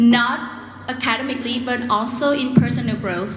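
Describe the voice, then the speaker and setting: A woman with a Vietnamese accent speaks at a high pitch. Room echo is audible, and there is noticeable background noise. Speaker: graduating student speaker. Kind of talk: commencement speech. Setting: stage with audience.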